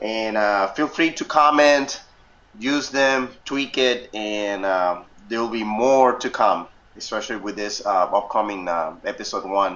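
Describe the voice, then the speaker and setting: At a fairly slow pace, a man talks in a fairly low pitch with ordinary pitch variation. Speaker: software instructor. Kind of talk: tutorial. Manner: loud; halting, many fillers.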